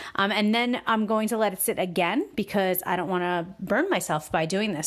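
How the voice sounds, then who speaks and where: In a very clean recording with a silent background, a woman talks at a fairly quick pace. Her pitch is medium, with ordinary pitch variation. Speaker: cooking vlogger. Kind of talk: voiceover tutorial. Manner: fast; casual, filler-heavy.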